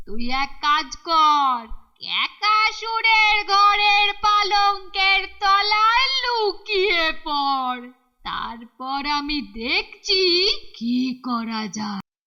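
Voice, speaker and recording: A cartoonish character voice that sounds female talks at a very slow pace and an extremely high pitch. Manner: brusque, familiar.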